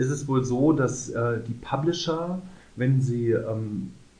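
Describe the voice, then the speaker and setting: A medium-pitched man with ordinary pitch variation and audible room echo. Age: 30s. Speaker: podcast co-host. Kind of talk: casual chat.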